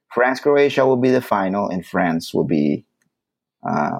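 The man talks at a moderate pace. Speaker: podcast host. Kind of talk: casual chat. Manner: joking, casual.

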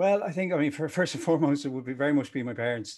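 The speaker is a man with a Dublin accent. His pitch varies in an ordinary way. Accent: Dublin Irish. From Ireland, Dublin. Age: 40s. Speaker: e-commerce agency founder. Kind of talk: interview. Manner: animated.

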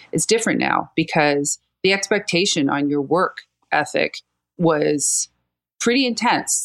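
This is an ordinary speaking voice from a woman, fairly low in pitch with lively intonation. The sound is dry and close with no echo. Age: 50s. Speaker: marketing and communications consultant. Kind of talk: casual interview.

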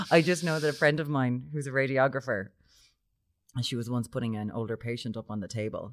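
In a Limerick accent, a woman with a very deep, low pitch speaks at a fairly quick pace with ordinary pitch variation, on a very clean recording with a silent background. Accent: Irish (Limerick). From Ireland, Limerick. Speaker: podcast co-host. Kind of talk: casual chat.

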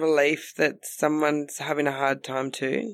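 Speaking with an Australian accent, a woman has a very deep, low pitch. Her pace is fairly slow and her intonation fairly even. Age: 30s. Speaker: comedian. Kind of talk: casual chat. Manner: loud.

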